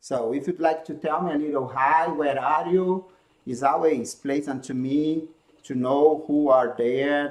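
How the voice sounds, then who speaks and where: Fairly even intonation at a fairly slow pace. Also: man. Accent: Brazilian. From Brazil. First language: Portuguese. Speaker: handspinning teacher. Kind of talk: live-stream tutorial. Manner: halting non-native phrasing.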